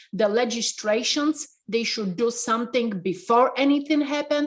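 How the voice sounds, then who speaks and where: A woman with a Polish accent speaks at a fairly slow pace in a passionate tone, her pitch varying in an ordinary way. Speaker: restaurant owner. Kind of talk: interview. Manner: halting.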